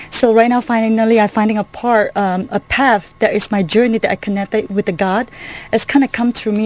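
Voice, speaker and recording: There's noticeable noise in the background. The female speaker's pitch sits fairly high. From Malaysia, Kuala Lumpur. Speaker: artist and art business owner. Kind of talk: radio interview. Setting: studio.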